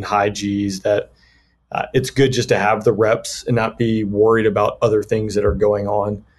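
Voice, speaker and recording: A man speaks with an American accent against a quiet background. His voice is somewhat breathy. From US South, Georgia (Peachtree City, near Atlanta). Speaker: fighter pilot and combat veteran. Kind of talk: casual interview.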